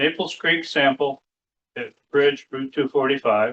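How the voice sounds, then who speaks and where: In an upstate New York accent, a man speaks at a fairly slow pace. His pitch is fairly high, with fairly even intonation. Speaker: poet. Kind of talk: poetry reading with spoken commentary. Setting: public library reading with audience. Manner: casual, explanatory asides between poems.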